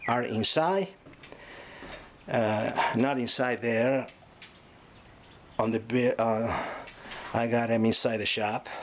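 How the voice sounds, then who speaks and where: Speaking very slowly with long, frequent pauses, a man with a medium-pitched voice is heard over noticeable background noise. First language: not English. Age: 60s. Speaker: boat restorer and trucking business owner. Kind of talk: casual video walkthrough. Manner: halting, many fillers.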